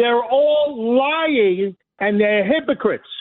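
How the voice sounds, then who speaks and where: An extremely high-pitched man with a Brooklyn accent and lively intonation. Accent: New York (Brooklyn). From New York City (Brooklyn, Flatbush). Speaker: caller. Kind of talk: heated call-in rant. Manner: loud; passionate.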